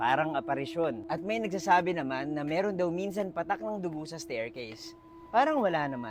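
Music plays in the background as a man speaks at a fairly quick pace. His voice is high-pitched with lively intonation. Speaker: storytime vlogger. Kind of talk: ghost story telling, on-location true-crime storytime. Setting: outdoors at a park tower. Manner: casual, chatty, Taglish vlogger style.

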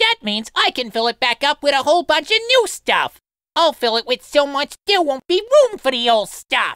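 Lines come at a moderate pace in a put-on character voice. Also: man, extremely high pitch for a man. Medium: dub. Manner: brash, scheming.

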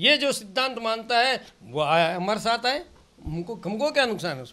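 A man speaks in a raised, projected voice at a high pitch and a moderate pace. His tone is bright and sharp, with lively intonation and big swings in loudness. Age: 70s. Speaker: senior politician, former assembly speaker. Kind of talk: interview. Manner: animated.

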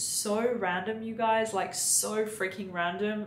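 There is audible room echo and light background noise as a woman speaks with ordinary pitch variation. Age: 20s. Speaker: beauty YouTuber. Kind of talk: product review vlog. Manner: animated. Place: home room.

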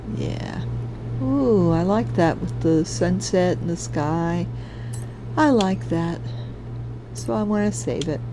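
Over noticeable background noise, a man with a very deep, low voice speaks very slowly, with very wide pitch swings and long, frequent pauses. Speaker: gaming streamer. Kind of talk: live gameplay commentary. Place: home room.

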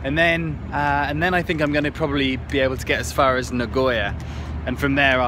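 Over noticeable background noise, a man speaks at a fairly quick pace in a dry sound with no echo. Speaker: travel vlogger on a scooter trip. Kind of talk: casual vlog chat. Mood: upbeat, reflective. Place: waterside. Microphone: phone near.

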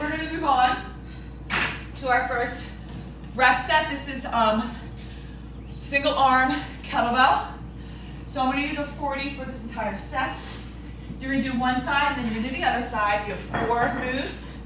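A woman with a high voice speaks at a moderate pace and fairly even intonation, leaving long, frequent pauses amid audible room echo and noticeable background noise. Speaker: fitness instructor. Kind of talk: workout instruction. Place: garage.

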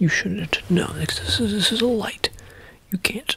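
A soft-spoken man talks at a very slow pace. Background noise is noticeable. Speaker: role-play exam host. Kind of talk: soft-spoken role-play talk to camera. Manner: soft close ASMR speaking. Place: home room. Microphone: phone near.

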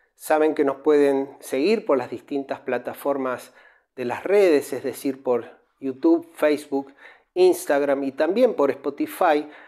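A man with a dark, mellow tone and a fairly high pitch talks at a fairly slow pace with ordinary pitch variation over a quiet background. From Argentina. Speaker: radio-style music history host. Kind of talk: scripted narration. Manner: formal. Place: home room. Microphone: lapel.

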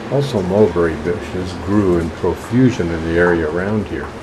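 A man speaks low with ordinary pitch variation. Background noise is clearly heard.

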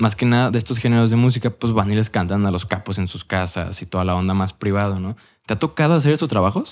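A man speaks at a fairly quick pace with a Mexican accent. His pitch is medium, and the background is quiet. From Mexico. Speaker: podcast host. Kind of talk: casual chat. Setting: studio. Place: studio. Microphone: studio mic.

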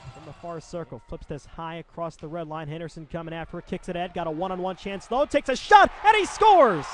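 A man speaks very fast in a high voice, animated in tone, with ordinary pitch variation, big swings in loudness and noticeable background noise. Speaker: hockey play-by-play announcer. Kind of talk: live sports commentary, hockey play-by-play. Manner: fast-paced, animated play-by-play delivery; rapid, rising-and-falling calls on goals.

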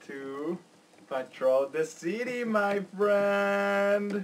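A man speaks at a very slow pace with very wide pitch swings. Light background noise is audible. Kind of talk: casual comedic skit dialogue. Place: home room. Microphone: webcam.

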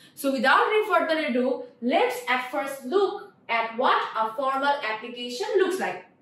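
A woman's high voice with a Bengali accent and very wide pitch swings, at a moderate pace, with audible room echo. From Bangladesh. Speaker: teacher. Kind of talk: lecture. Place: classroom.

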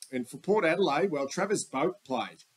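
The intonation here is lively. It comes from a man with an Australian accent. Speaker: sports vlogger, football fan. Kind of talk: casual sports preview monologue. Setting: voiceover with slides. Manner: rambling, conversational.

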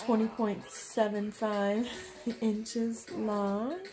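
Clear music plays behind a woman as she talks. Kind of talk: casual vlog chat. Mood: happy, laughing. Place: home room. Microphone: phone near.

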